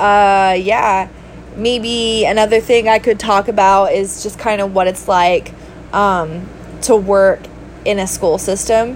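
Background noise is noticeable as a woman talks at a very slow pace. Her pitch variation is ordinary. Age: 30s. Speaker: podcast host and substitute teacher. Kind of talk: casual monologue. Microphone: no microphone, basic built-in recording.

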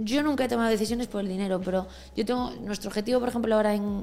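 Over music in the background, a woman speaks at a fairly high pitch with ordinary pitch variation. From Galicia, A Coruña. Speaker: entrepreneur. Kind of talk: casual interview.

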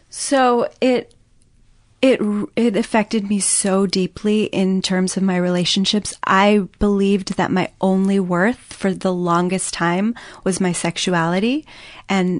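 An ordinary speaking voice with an American accent, fairly even intonation and a fairly slow pace, dry and close with no echo against a quiet background. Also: woman. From US Midwest. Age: 30s. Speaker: guest sharing personal story of abuse and recovery. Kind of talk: testimony.

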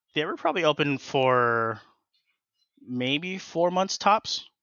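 Very slow and broken by long, frequent pauses, a man's speech carries ordinary pitch variation. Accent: American. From Southern California (Inland Empire). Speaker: small business owner. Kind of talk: casual chat.

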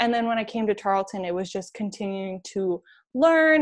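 A woman with an American accent has an ordinary speaking voice, fairly high in pitch with ordinary variation, over a quiet background. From New York. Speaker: athletic communications graduate assistant. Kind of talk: interview.

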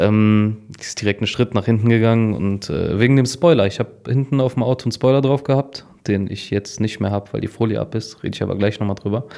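Very fast talk from a man, medium-pitched with a dark, mellow tone and ordinary pitch variation. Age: 20s. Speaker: podcast co-host. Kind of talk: casual chat.

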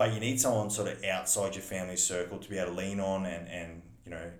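A man with an Australian accent, very deep and low in pitch, with ordinary pitch variation, a fairly quick pace and audible room echo. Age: 30s. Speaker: business owner and council candidate. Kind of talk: casual interview.

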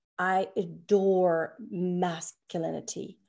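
Dark, mellow tone with a non-native accent, in a very clean recording over a silent background. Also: woman. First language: not English. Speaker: podcast co-host and Kundalini yoga practitioner. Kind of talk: casual spiritual conversation. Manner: halting, many fillers and restarts.

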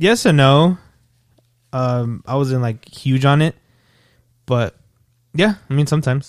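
Pausing long and often, a man with an American accent speaks fairly slowly at a fairly high pitch with ordinary pitch variation, in a dry, close sound with no echo. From El Paso, Texas. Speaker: podcast guest. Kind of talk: casual chat.

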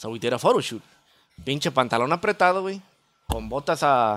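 Recorded very cleanly with a silent background, a man speaks at a fairly slow pace, his fairly high-pitched voice full of lively intonation. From Chicago North Side. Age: 30s. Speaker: banda musician. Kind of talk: casual chat.

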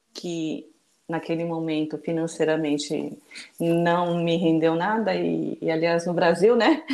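Her delivery is very slow. This woman's voice sits fairly low. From born in Japan, raised in Brazil from age two. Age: 50s. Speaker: children's book author and mother. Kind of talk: casual interview.

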